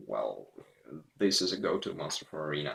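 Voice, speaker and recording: A man speaks with a Russian accent. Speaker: gaming video creator. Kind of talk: casual gameplay commentary. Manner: halting, repetitive.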